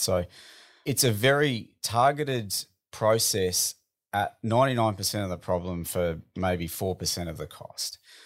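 In an Australian accent, a man speaks with ordinary pitch variation on a very clean recording with a silent background. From Australia, Melbourne. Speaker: business founder. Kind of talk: interview.

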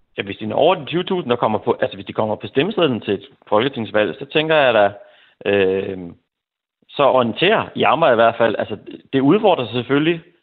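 Here a man talks at a moderate pace in a medium pitch. His pitch swings very widely. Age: 40s. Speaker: teacher, listener panelist. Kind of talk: radio phone-in discussion. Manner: halting.

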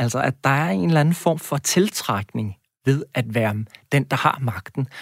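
Lively in intonation, a man with an ordinary speaking voice talks at a fairly slow pace and medium pitch, in a very clean recording with a silent background and a dry, close sound with no echo. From Denmark, Næstved (South Zealand). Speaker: university lecturer, education researcher. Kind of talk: radio interview. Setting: radio studio.

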